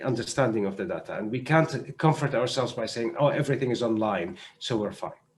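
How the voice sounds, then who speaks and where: A man talks at a very fast pace with an Arabic accent. His voice is somewhat breathy. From Syria. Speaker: doctor and humanitarian health adviser. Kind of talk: panel discussion. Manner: halting.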